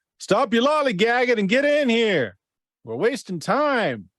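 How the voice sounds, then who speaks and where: A man puts on a character voice that is gruff and pitched extremely high. He delivers it at a moderate pace. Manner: impatient.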